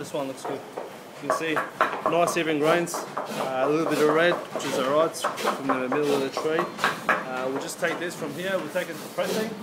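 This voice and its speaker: Loud background noise surrounds a man who speaks with ordinary pitch variation. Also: moderate pace. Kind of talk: casual vlog chat. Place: factory. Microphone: phone near.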